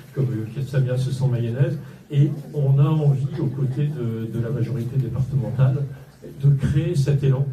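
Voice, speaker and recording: A man talks at a medium pitch in a monotone, flat intonation. The recording has noticeable background noise and audible room echo. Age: 60s. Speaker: local political candidate, entrepreneur. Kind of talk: campaign speech. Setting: campaign office opening, live audience. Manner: hesitant, many fillers.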